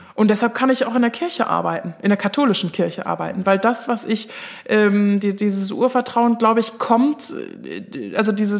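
Here is a normal speaking voice. It moves at a moderate pace with ordinary pitch variation. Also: woman. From Bonn, Germany. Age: 30s. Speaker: event manager working for the church. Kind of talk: interview. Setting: studio.

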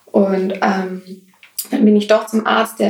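At a moderate pace, a woman uses an ordinary speaking voice with fairly even intonation. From Swabia, Germany. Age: 20s. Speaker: ostomy patient. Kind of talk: casual interview.

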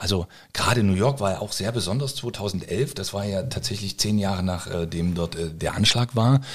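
A man's fairly low, somewhat breathy voice keeps a moderate pace and shows ordinary pitch variation. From eastern Germany (former GDR). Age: 40s. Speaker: firefighter and chef. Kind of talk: casual interview. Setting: at his home.

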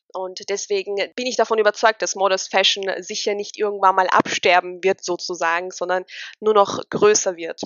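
At a moderate pace, a woman talks in a medium-pitched voice with monotone, flat intonation. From Austria. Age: 20s. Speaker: model and influencer. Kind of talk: interview.

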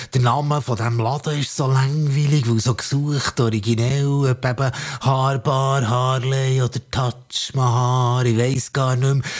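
A man's medium-pitched, somewhat breathy voice at a fairly slow pace, with very even loudness. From Switzerland, Bern area (Zollikofen). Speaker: spoken word performer. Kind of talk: spoken word performance. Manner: animated.

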